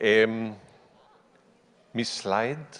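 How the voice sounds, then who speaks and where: The man's voice has a fairly low pitch. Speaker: anthropology professor. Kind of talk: conference talk. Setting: conference stage with audience. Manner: slow.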